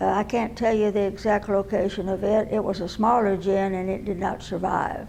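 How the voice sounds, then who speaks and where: A woman with a Texan accent speaks at a moderate pace in a medium pitch, her intonation flat and monotone. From San Marcos, Texas. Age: 80s+. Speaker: oral history interviewee. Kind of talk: interview answer.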